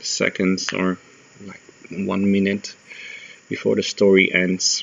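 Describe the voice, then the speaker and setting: A man with a non-native accent speaks very slowly in a very deep, low voice, his intonation monotone and flat. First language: not English. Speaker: gaming tutorial maker. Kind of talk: tutorial voice-over.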